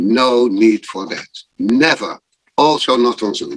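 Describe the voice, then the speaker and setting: Pitch varies an ordinary amount as the speaker goes at a very slow pace. The sound is dry and close with no echo. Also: man. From Netherlands, Amsterdam. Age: 60s. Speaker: improv performer. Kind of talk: casual chat.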